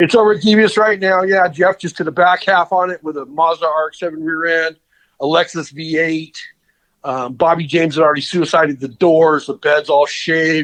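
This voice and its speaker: With an American accent, a man talks at a fairly quick pace in an ordinary speaking voice, fairly high in pitch. His intonation is fairly even, and the background is quiet. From Southern California. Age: 50s. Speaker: custom car builder. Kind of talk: interview. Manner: casual.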